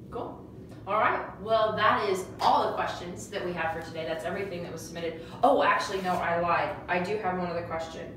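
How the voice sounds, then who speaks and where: With noticeable background noise and audible room echo, a woman speaks at a fairly low pitch with ordinary pitch variation. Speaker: co-host reading viewer questions. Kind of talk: casual interview Q&A. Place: office. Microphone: camera far.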